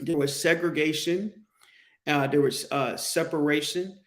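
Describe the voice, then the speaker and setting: Fairly even intonation marks this speech in an American accent. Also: man. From Pittsburgh, Pennsylvania (US North). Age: 40s. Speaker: podcast host. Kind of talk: solo podcast monologue. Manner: halting, many restarts.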